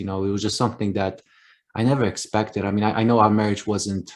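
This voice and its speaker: A man talks in a Polish accent at a fairly low pitch with monotone, flat intonation. The recording is very clean, with a silent background. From Poland. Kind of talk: interview.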